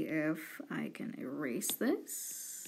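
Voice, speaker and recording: A woman speaks at a very slow pace. Room echo is audible. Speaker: live streamer drawing digital art. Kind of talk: casual live stream chat while sketching. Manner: rambling, halting with self-corrections.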